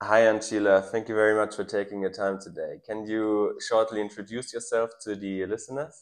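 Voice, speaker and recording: A man talks in a flat monotone with a German accent, barely pausing. The background is quiet. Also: fairly low pitch for a man, moderate pace. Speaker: podcast host. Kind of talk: scripted narration; interview. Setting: in person in Tanzania.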